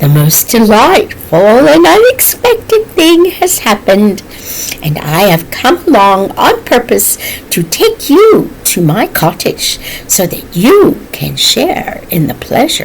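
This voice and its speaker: A woman's high-pitched, put-on character voice at a fairly slow pace, with clear background noise. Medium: read story. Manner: brisk, emphatic, snorting.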